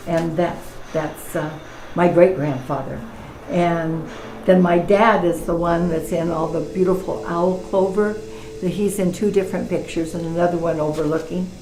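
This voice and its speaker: With music in the background, a woman speaks in fairly even intonation. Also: moderate pace. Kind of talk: interview answer.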